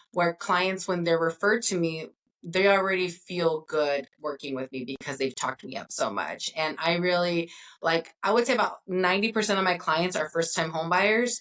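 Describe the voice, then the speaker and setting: A woman with a Spanish accent, fairly low in pitch, ordinary pitch variation, at a moderate pace. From Northern California. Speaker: mortgage broker. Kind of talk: interview.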